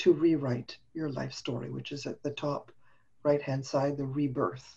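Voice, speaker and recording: A woman's very deep, low voice, dark and mellow in tone and somewhat breathy. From Montreal, Canada. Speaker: business coach and speaker. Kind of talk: casual interview chat. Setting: video call.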